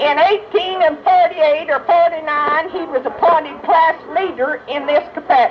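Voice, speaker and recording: Fairly slow pace amid noticeable background noise. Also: woman. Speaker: relative speaking at a decoration service. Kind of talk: speech at a memorial gathering, reading an obituary.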